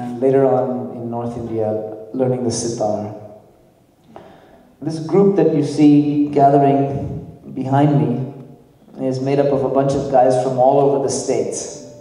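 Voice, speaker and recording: In a room with audible echo, a man of medium pitch speaks at a fairly slow pace with fairly even intonation. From Nepal. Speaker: worship band leader. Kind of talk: stage introduction of band members.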